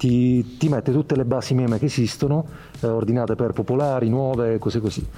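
A man's voice with a dark, mellow tone moves at a fairly quick pace with fairly even intonation. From Apulia, Italy (Bitonto near Bari). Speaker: meme creator. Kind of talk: casual chat.

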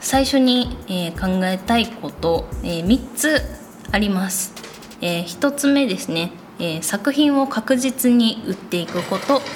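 Through noticeable background noise, a woman mumbles at a fairly slow pace in a gentle tone, her fairly high pitch carried by lively intonation. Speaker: illustrator podcast host. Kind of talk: solo podcast monologue. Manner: gentle, slightly mumbling.

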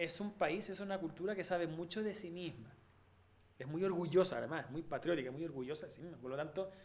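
With a Chilean accent, the speaker talks at a fairly quick pace with ordinary pitch variation. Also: man, high pitch for a man. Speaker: podcast host, musician. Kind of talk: casual chat.

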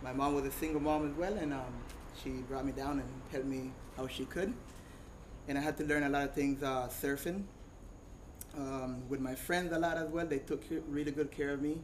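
A man with a Costa Rican Caribbean accent talks at a fairly quick pace, his fairly high voice keeping a fairly even intonation. Long, frequent pauses break up his speech, and audible room echo surrounds it. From Costa Rica, Caribbean coast. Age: 30s. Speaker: surfer. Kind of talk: talk to a live audience.

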